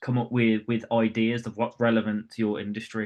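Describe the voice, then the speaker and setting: A man at a medium pitch with a Birmingham accent and a fairly quick pace. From West Midlands, England (Birmingham). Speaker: property branding coach. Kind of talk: webinar talk. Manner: casual, with filler words.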